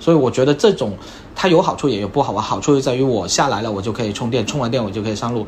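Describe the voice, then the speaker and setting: Very fast speech from a man at a medium pitch with ordinary pitch variation, over noticeable background noise. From Guangdong, China. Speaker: car owner, software product manager. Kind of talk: casual chat.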